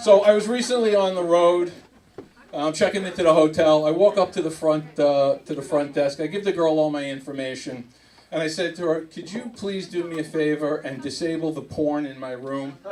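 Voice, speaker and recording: A man with a New York accent, his fairly high voice showing ordinary pitch variation, big swings in loudness and a moderate pace, over noticeable background noise. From New York (Queens, near Nassau County). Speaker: stand-up comedian. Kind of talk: stand-up.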